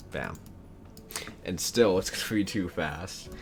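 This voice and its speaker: A man speaks very slowly with music in the background. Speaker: gaming video creator. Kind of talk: gameplay commentary. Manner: casual, halting with many restarts.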